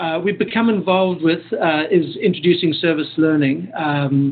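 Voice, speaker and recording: This man speaks with a South African accent at a moderate pace. His pitch is fairly high, with ordinary variation. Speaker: professor. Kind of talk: lecture.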